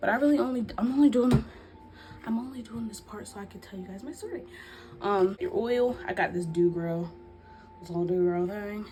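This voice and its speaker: Soft-spoken, a woman talks at a fairly quick pace with medium pitch, lively intonation and big swings in loudness. She leaves long, frequent pauses, and there is noticeable background noise. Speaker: YouTuber, lifestyle vlogger. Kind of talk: story time vlog, casual chat. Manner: soft-spoken, quiet for the baby; rambling, halting with fillers.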